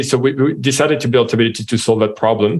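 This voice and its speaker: A man in a French accent talks at a very fast pace, his medium pitch showing ordinary variation. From France. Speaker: software company co-founder and CEO. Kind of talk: interview.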